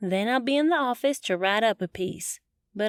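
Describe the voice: With a quiet background, the text is plainly read aloud.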